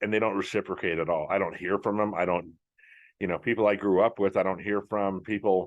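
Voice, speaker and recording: A man with a plain, everyday voice, fairly low pitch and a fairly quick pace, in a quiet background. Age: 60s. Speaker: podcast host. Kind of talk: casual monologue. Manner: conversational, many fillers.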